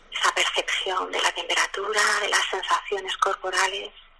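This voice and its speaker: Noticeable background noise behind a woman talking fairly slowly. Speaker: lawyer and mindfulness teacher. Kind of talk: guided meditation.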